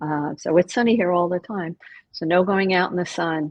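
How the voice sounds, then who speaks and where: A woman speaks at a moderate pace. Her pitch is fairly low, with ordinary variation. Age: 60s. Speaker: acupuncturist and course instructor. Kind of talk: webinar Q&A. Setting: online webinar. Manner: hesitant, many fillers.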